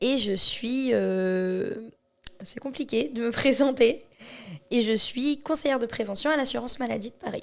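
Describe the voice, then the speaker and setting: With long, frequent pauses, a woman speaks in a high pitch with ordinary pitch variation. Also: fairly slow pace. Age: 30s. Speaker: charity association president. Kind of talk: podcast interview. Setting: association premises.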